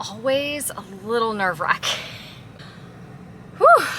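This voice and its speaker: A woman talks at a moderate pace with a fairly high pitch and lively intonation. She leaves long, frequent pauses over noticeable background noise. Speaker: real estate agent. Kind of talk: casual vlog. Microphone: microphone issues.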